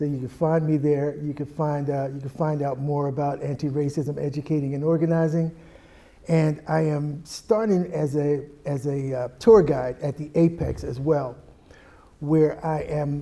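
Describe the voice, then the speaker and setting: A man with an American accent speaks at a moderate pace in a fairly high, dark, mellow voice with fairly even intonation. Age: 60s. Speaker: anti-racism educator. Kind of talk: panel discussion.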